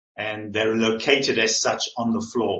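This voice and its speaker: The voice has a bright, sharp tone and a South African accent. The pace is fairly slow. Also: man. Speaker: staff in residence, PhD candidate. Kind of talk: conference presentation.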